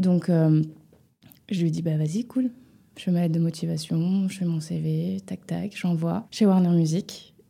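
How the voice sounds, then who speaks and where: Somewhat breathy and dark, mellow in tone, a woman speaks at a very slow pace with ordinary pitch variation. The recording is very clean, with a silent background. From western France, near Nantes (Loire-Atlantique). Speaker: music publisher. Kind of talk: interview.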